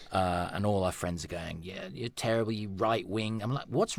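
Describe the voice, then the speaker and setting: A man with an animated tone at a moderate pace, on a very clean recording with a silent background. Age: 50s. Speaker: actor and comedian. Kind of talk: casual chat.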